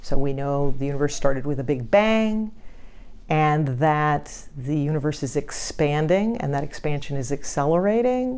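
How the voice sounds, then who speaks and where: Audible echo surrounds the room. A woman speaks at a fairly slow pace. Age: 60s. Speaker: physicist and university provost. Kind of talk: interview. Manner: reflective, with hesitations.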